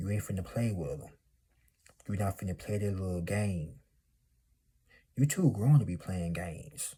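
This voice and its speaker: A man with a fairly low pitch speaks at a moderate pace, leaving long, frequent pauses. His tone is dark, mellow and somewhat breathy, with ordinary pitch variation. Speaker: motivational YouTuber. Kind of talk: motivational monologue. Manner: animated.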